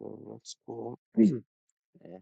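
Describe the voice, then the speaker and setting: Soft-spoken and at a very slow pace, a man speaks with vocal fry in a dry, close sound with no echo. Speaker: live streamer. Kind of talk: casual chat. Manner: halting.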